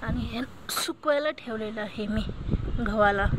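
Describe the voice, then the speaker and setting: A woman is heard over loud background noise. The sound is dry, with no echo. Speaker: home cook vlogger. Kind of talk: casual vlog chat. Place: open country. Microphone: phone near.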